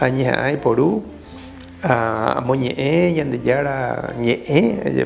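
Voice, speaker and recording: A man speaks very slowly at medium pitch, with ordinary pitch variation, very even loudness, and long, frequent pauses. Background noise is noticeable and the room echoes audibly. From Paraguay (Caazapá). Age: 60s. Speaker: Jesuit priest. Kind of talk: interview testimony. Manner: halting, many fillers.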